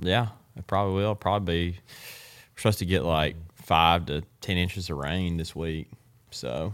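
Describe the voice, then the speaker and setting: A man with a very deep, low voice in an Alabama accent, at a moderate pace with ordinary pitch variation. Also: big swings in loudness, very clean recording, silent background. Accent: Southern US (Alabama). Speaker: professional bass angler. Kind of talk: casual interview.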